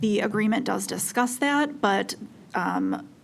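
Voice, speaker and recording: A woman with vocal fry speaks at a medium pitch with ordinary pitch variation. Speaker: utility regulatory commissioner. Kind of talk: regulatory commission deliberation. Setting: public meeting. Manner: slow, deliberate; hesitant, many fillers.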